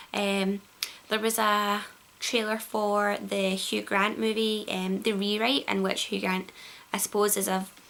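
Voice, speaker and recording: Speaking at a fairly slow pace with a Glaswegian accent, a woman keeps a medium pitch, a monotone, flat intonation and very even loudness. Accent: Glaswegian Scottish. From Glasgow, Scotland. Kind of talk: casual vlog to camera. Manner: hesitant, many fillers.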